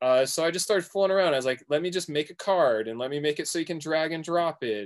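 A man speaks at a very fast pace in a fairly high voice with lively intonation. The recording is very clean, with a silent background. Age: 40s. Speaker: music producer and DJ. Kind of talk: casual chat.

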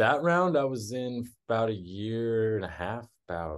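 Lively intonation marks this man's fairly low voice. He speaks with an American accent over a quiet background. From Texas. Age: 30s. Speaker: musician and wood artist. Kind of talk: casual interview.

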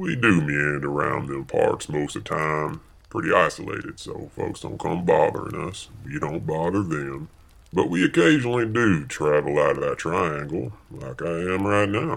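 The speaker uses a rural Southern US accent at a moderate pace. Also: man. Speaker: comedic audio-drama character.

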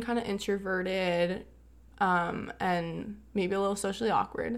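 At a fairly slow pace, a woman talks at medium pitch. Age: young. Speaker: recent high school graduate. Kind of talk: casual chat.

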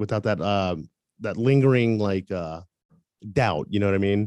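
A man with an American accent and a dark, mellow tone at a moderate pace, in a dry, close recording with no echo. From US South, Tampa, Florida. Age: 30s. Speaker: photographer and musician. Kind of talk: interview.

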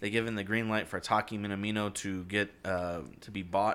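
A man speaks in a flat monotone at a moderate pace, his pitch fairly low. The recording is very clean, with a silent background. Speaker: sports podcast host. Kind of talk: casual sports banter.

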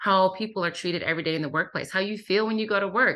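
A bright, sharp voice sounds against a quiet background. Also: woman. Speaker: author and workplace diversity expert. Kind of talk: interview. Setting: remote call. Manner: soothing.

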